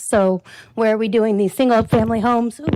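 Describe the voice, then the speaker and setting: The recording is very clean with a silent background and a dry, close sound with no echo, and the speaker's intonation stays fairly even. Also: woman. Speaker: resident speaking at public comment. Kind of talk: public comment at city council meeting. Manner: fast.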